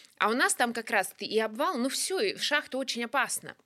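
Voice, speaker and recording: Recorded very cleanly over a silent background, a woman speaks in an ordinary speaking voice. She keeps a moderate pace with ordinary pitch variation. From Russia, Kuzbass (Kemerovo). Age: 30s. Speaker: stand-up comedian. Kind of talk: casual chat.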